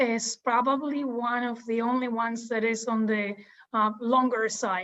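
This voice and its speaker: A woman's bright, sharp voice with a non-native accent. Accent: foreign. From abroad, non-US country. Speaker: featured poet. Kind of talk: casual chat before poetry reading. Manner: slow.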